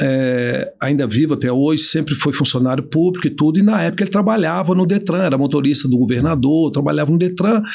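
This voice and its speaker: Speaking fairly quickly in an unremarkable speaking voice, a man holds a fairly high pitch with ordinary pitch variation and very even loudness. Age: 50s. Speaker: business owner and trainer. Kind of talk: casual interview chat.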